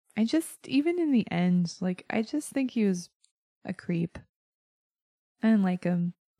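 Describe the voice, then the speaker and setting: Her voice is somewhat breathy with a dark, mellow tone and medium pitch, swinging very widely in pitch at a fairly slow pace with long, frequent pauses, all in a dry, close sound with no echo. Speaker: podcast co-host. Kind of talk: casual chat.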